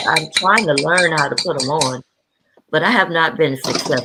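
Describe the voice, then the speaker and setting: A woman speaks with an American accent and a very deep, low pitch. Her pitch variation is ordinary. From US South, Gullah Geechee community. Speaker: guest on livestream. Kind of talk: casual chat.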